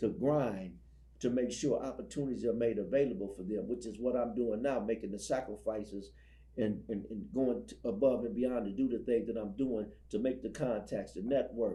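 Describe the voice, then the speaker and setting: Audible room echo carries a man's dark, mellow voice of medium pitch, marked by vocal fry. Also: ordinary pitch variation, moderate pace. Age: 60s. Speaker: ex-prisoner and prison ministry speaker. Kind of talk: interview testimony. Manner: halting, repeats words.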